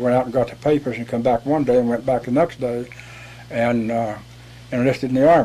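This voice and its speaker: Medium-pitched male speech in an American accent, monotone and flat, over noticeable background noise. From West Virginia, rural Appalachia. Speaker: war veteran. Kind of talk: interview. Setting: studio.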